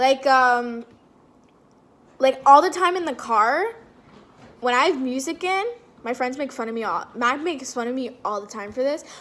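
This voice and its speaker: A loud, animated woman's voice, high in pitch, at a moderate pace with long, frequent pauses. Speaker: vlogger. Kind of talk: casual Q&A vlog.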